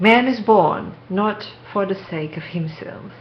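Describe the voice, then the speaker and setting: Over noticeable background noise, a speaker with a non-native accent uses ordinary pitch variation. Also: woman. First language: not English. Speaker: spiritual video maker. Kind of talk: reading aloud. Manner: slow; soft-spoken.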